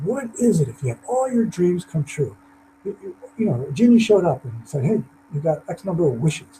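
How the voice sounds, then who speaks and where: At a fairly quick pace, a man speaks in a high voice with very wide pitch swings. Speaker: motivational speaker. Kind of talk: webinar presentation. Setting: online webinar. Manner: fast.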